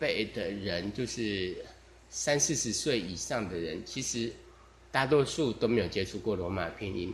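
Somewhat breathy male voice at a fairly slow pace with lively intonation. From Taiwan. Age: 40s. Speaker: podcaster. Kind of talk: casual monologue. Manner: relaxed.

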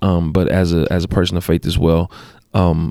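In a very clean recording with a silent background, a man speaks in a very deep, low pitch with an American accent. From Los Angeles, California (Compton). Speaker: former college basketball player, school worker. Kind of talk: casual conversation.

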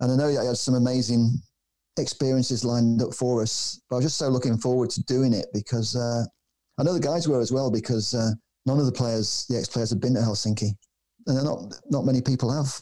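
A man with a Manchester accent speaks in a dark, mellow tone, keeping his loudness very even and his intonation fairly even. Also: medium pitch for a man, fairly quick pace. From Manchester, England. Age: 60s. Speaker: documentary filmmaker. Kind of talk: casual interview. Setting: remote call.

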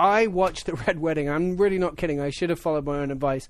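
Here a man speaks with an English accent. His intonation stays fairly even. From England. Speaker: football pundit. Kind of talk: casual sports chat. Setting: studio.

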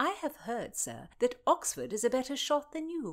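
Using a put-on character voice, a woman speaks at a moderate pace and high pitch, her pitch swinging very widely.

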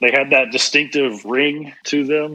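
With a bright, sharp tone, this man talks at a moderate pace. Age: 50s. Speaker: business executive and speaker. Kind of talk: interview.

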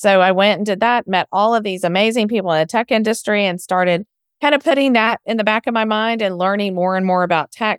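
With an American accent, a woman speaks very fast at a medium pitch, with ordinary pitch variation and very even loudness, in a dry, close sound with no echo on a very clean recording against a silent background. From Texas, Houston. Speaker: software founder and former speech pathologist. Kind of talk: interview.

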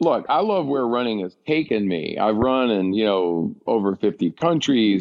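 A man talks in an ordinary speaking voice at a moderate pace, with a medium pitch and lively intonation. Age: 50s. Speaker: ultramarathon runner and author. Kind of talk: interview conversation.

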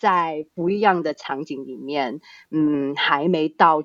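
A woman speaks at a very deep, low pitch. Her pace is fairly slow. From Australia (born Hong Kong). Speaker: startup founder and CEO. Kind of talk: interview. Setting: remote online recording.

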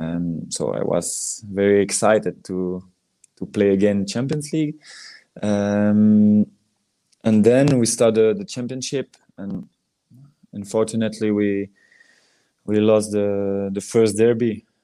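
A man's fairly low voice with a dark, mellow tone and a Belgian French accent, very slow and fairly even in intonation, with long, frequent pauses. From Belgium, Liège. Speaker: former professional footballer. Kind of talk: interview. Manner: halting.

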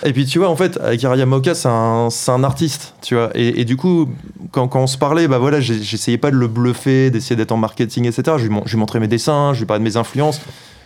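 A man's plain, everyday voice at a medium pitch and moderate pace, with very even loudness and ordinary pitch variation. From France, Paris. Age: 30s. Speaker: video game director. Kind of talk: interview.

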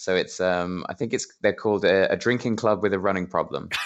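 Speaking at a fairly quick pace with an English accent, a man uses a fairly low pitch and ordinary pitch variation. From England. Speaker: podcast guest, friend of host, football fan. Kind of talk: casual chat.

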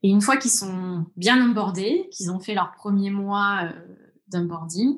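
At a fairly slow pace, a woman with a medium pitch talks in a somewhat breathy voice with ordinary pitch variation. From France, Orléans area (Loire countryside). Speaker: tech product executive. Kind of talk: interview.

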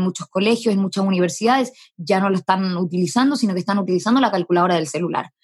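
In a plain, everyday voice, a woman speaks at medium pitch with ordinary pitch variation. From Chile. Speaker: startup founder. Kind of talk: interview.

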